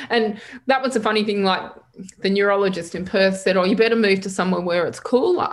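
A woman with an Australian accent and medium pitch talks at a very fast pace with fairly even intonation, an audible room echo around her voice. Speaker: public speaker and resilience coach living with MS. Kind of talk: casual interview. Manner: hesitant, many fillers.

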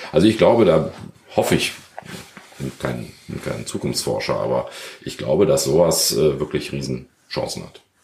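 Audible room echo surrounds a man's voice. He talks at a moderate pace with long, frequent pauses. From Germany, Krefeld (Lower Rhine). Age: 50s. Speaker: sports retailer and local business association chair. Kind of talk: interview. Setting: conference room in his shop.

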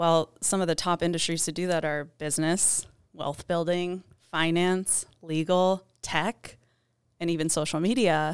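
In a very clean recording with a silent background, a woman has an ordinary speaking voice, fairly low in pitch, with fairly even intonation at a fairly slow pace. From Michigan, US Midwest. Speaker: YouTube consultant. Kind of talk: interview. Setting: studio.

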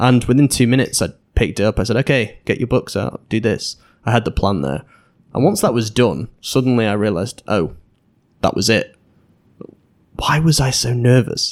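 With a Manchester accent, a man speaks at a medium pitch and moderate pace, showing vocal fry and ordinary pitch variation. He leaves long, frequent pauses on a very clean recording with a silent background. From England, Manchester. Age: 20s. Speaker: podcaster and English teacher. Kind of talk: interview conversation. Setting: in-person studio interview.

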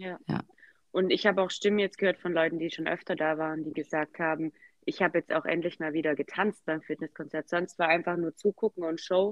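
Fairly quick, monotone delivery from a woman, flat in intonation and fairly low in pitch. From Swabia, southwest Germany. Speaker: Zumba enthusiast, podcast guest. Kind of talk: casual interview.

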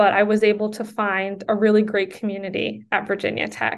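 In a quiet background, a woman with an American accent speaks at medium pitch and a moderate pace. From US Northeast, Connecticut. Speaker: law student and review board chair. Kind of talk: interview.

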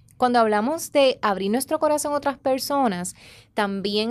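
In a very clean recording with a silent background, a woman with an unremarkable speaking voice talks at a moderate pace, her pitch fairly high and her intonation lively. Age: 30s. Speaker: relationship educator and podcast host. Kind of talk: motivational talk. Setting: studio.

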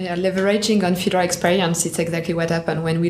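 Over noticeable background noise, a woman speaks in a fairly low pitch with monotone, flat intonation. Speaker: banking executive. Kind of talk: casual chat.

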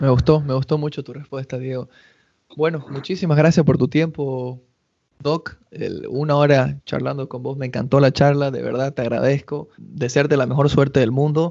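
This man's voice sits at a fairly high pitch, with monotone, flat intonation. He keeps a moderate pace, but his loudness swings widely. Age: 30s. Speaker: podcast host. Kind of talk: casual interview.

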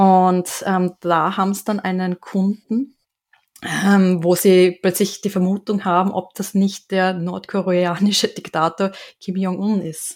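A woman's monotone, flat delivery at a very slow pace. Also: medium pitch for a woman. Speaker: podcast co-host, game event organizer. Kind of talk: casual chat. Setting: video call.

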